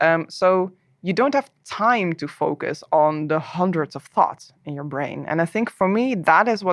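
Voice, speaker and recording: A woman's fairly slow delivery, with ordinary variation in pitch. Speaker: game developer. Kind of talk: interview.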